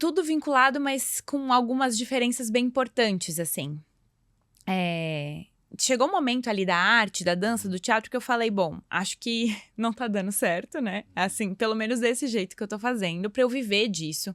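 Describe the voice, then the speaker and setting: In a very clean recording with a silent background and a dry, close sound with no echo, a woman with fairly high pitch talks at a moderate pace using lively intonation. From southern Brazil, Santa Catarina (Blumenau). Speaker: yoga teacher and school founder. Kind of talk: podcast interview.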